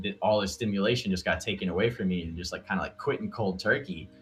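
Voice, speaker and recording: Music plays behind a man with an American accent. His voice sits fairly low in pitch. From Montana, US (born New York). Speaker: concert videographer. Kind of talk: casual podcast chat.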